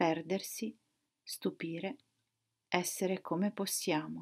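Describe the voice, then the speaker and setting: Her intonation stays fairly even. The woman speaks at a very slow pace. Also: quiet background. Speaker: poet. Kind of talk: poetry reading aloud. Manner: slow, contemplative, measured. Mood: quiet, reflective, calm. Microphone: webcam.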